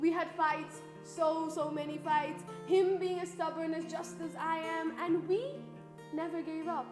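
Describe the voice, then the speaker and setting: Music plays in the background. A woman talks at a very slow pace. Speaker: university student. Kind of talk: spoken word poetry performance.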